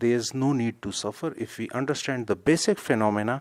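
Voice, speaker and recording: Speaking with a non-native accent, this man shows ordinary pitch variation. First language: not English. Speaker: health video creator. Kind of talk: informal educational talk. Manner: hesitant, with fillers and self-corrections.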